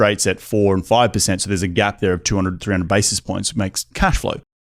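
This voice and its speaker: A man speaks at a fairly quick pace in an Australian accent. The sound is dry and close, with no echo. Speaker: real estate investor. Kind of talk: podcast interview. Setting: studio.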